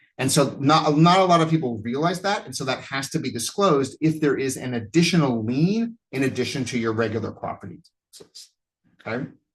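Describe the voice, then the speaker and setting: Somewhat breathy and fairly high-pitched, a man speaks at a fairly quick pace with lively intonation and big swings in loudness. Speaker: college instructor. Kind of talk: online lecture. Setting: online class from home. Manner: fast. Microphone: new laptop setup.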